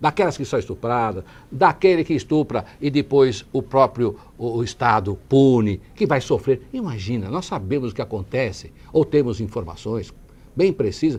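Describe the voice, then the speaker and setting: The voice is somewhat breathy, with lively intonation. Its pace is moderate. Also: man. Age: 60s. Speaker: city councillor and lawyer. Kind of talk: TV interview. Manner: halting.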